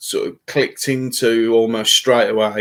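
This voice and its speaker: In a Birmingham accent, a man speaks at a fairly slow pace. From Birmingham, England. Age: 50s. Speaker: fishing YouTuber. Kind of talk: live stream chat. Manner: halting.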